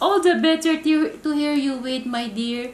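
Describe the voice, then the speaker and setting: Pitched high, a woman uses a put-on character voice at a moderate pace. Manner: sickly sweet.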